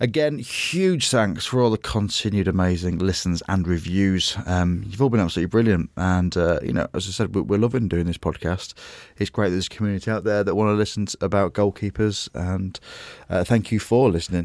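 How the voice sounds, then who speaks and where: An English accent at a fairly quick pace, ordinary pitch variation, and a very clean recording with a silent background. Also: man, fairly low pitch for a man. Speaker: podcast host, comedian. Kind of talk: casual chat.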